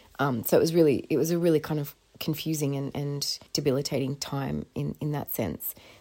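At a fairly quick pace, a woman with an Australian accent speaks in a very deep, low pitch with a dark, mellow tone, vocal fry, and fairly even intonation. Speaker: podcast host. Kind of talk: casual chat. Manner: halting.

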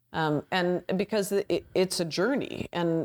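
A woman with an ordinary speaking voice and a Canadian accent, in a dry, close sound with no echo and a very clean recording with a silent background. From Canada. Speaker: climate activist. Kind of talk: interview conversation.

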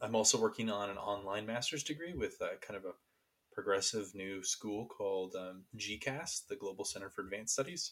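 A normal speaking voice from a man, pitched fairly low and moving at a moderate pace. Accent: American. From Sacramento, California. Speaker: podcast co-host, philosophy graduate student. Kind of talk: casual chat.

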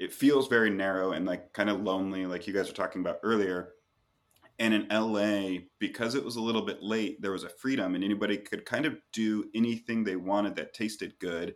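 Using a plain, everyday voice, a man with an American accent speaks at a moderate pace and a fairly low pitch. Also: very clean recording, silent background. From US Pacific Northwest. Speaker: coffee roaster. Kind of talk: interview.

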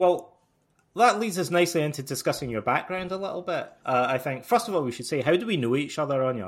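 A man with a Scottish accent, fairly high in pitch, at a very fast pace with very wide pitch swings. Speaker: podcast host. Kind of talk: casual interview chat. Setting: remote audio call.

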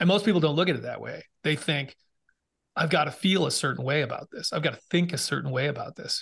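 A man with an American accent talks at a very fast pace in a fairly high pitch for a man, with vocal fry. His pitch varies in an ordinary way, and the background is quiet. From Massachusetts, Boston area. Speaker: podcast host and former Navy SEAL, mental fitness speaker. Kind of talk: interview conversation. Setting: video call.

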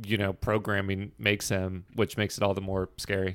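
This is a plain, everyday voice at a moderate pace. The recording is very clean, with a silent background. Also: man. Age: 30s. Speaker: podcast host, film fan. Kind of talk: casual film review chat.

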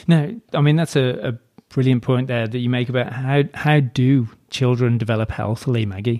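A man with an unremarkable speaking voice talks at medium pitch and a moderate pace, his intonation fairly even. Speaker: podcast host. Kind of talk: casual interview chat.

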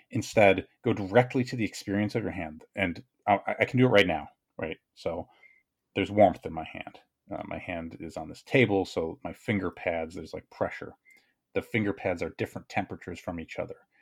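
Talking at a fairly quick pace, a man uses a fairly low pitch with ordinary variation and big swings in loudness. The recording is very clean, the background silent. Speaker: writer and video creator. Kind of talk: casual chat. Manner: fast.

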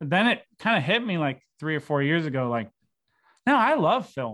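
This man has a plain, everyday voice, fairly high for a man, with an American accent at a fairly quick pace against a quiet background. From Syracuse, New York, US. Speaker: filmmaker. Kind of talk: casual chat.

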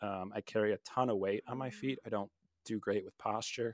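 A man with an unremarkable speaking voice talks at a moderate pace, fairly low in pitch with ordinary pitch variation. The sound is dry and close with no echo, in a very clean recording over a silent background. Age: 30s. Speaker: marriage and family therapist. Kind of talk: casual chat.

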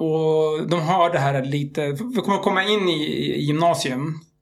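This man has a plain, everyday voice. His pitch is fairly high, with ordinary pitch variation. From Libya and Algeria, Iraqi family. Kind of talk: casual interview chat.

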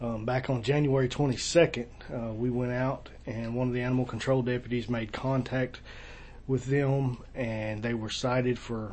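A man speaks at medium pitch and a fairly slow pace. His voice is somewhat breathy, with monotone, flat intonation. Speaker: county sheriff. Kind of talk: casual interview. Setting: office.

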